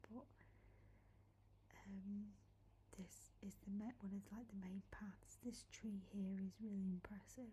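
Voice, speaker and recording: Soft-spoken and somewhat breathy, a woman speaks at a very slow pace and medium pitch in a gentle, dark, mellow tone with monotone, flat intonation. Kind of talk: soft-spoken ASMR walking tour talking to camera. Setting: outdoors in a woodland. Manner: soft-spoken, gentle.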